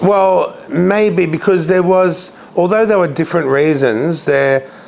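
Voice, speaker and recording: Noticeable background noise sits behind a man who speaks at a fairly slow pace. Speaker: radio host. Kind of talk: interview answer. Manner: candid, blunt.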